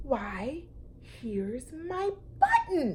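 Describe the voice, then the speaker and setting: A woman puts on a character voice, high-pitched with very wide pitch swings, over clear background noise. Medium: read story. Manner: gentle, wondering.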